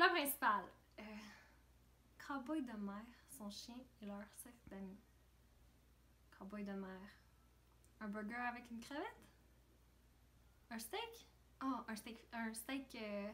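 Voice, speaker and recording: A woman's fairly high, bright, sharp voice at a very slow pace, with ordinary pitch variation, big swings in loudness, long, frequent pauses and audible room echo. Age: 20s. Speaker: reality show contestant. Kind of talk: casual chat. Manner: halting.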